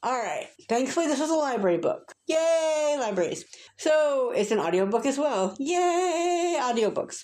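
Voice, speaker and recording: An animated, fairly slow voice with an American accent, very wide pitch swings and very even loudness. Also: woman, high pitch for a woman. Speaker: booktuber. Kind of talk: casual rant review.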